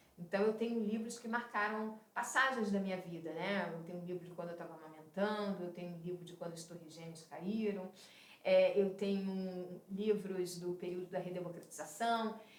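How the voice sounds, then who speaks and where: Medium-pitched speech from a woman at a moderate pace, fairly even in intonation, with big swings in loudness and audible room echo. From Rio de Janeiro, Brazil. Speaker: film director. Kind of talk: interview.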